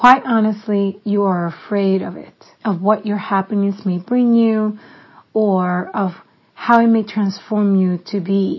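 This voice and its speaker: Somewhat breathy, a woman with a medium pitch speaks at a fairly slow pace with fairly even intonation. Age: 40s. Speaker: podcast host. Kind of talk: reading aloud a personal letter.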